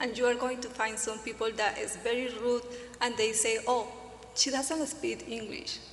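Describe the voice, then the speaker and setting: Through noticeable background noise and audible room echo, a woman with a non-native accent speaks at a high pitch and moderate pace, with fairly even intonation. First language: not English. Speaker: newcomer panelist. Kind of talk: panel discussion.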